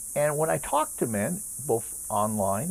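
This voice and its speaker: A somewhat breathy male voice. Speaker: age management coach. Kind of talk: casual talk to camera.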